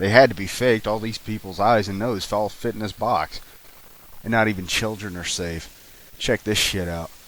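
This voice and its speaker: Against noticeable background noise, a man speaks at a moderate pace. His pitch is fairly low and his intonation fairly even. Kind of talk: commentary narration. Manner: profane, ranting.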